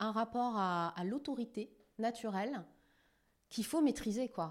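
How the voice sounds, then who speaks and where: A woman with a plain, everyday voice speaks at a fairly high pitch and a moderate pace with lively intonation, on a very clean recording with a silent background. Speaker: TV journalist and news editor. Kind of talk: interview conversation.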